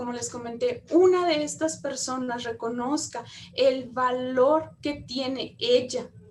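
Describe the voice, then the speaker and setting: Audible room echo surrounds a woman speaking at a very slow pace in a high voice. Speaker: lecturer on women's economic empowerment, public prosecutor. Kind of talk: lecture.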